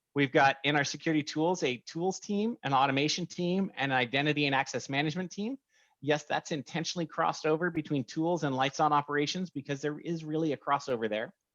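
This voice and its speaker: Talking at a very fast pace with hardly any pauses, a man uses a fairly high pitch in a dry, close sound with no echo and a quiet background. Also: ordinary pitch variation. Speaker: cybersecurity podcast host, hiring manager. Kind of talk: podcast explanation, casual. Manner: animated.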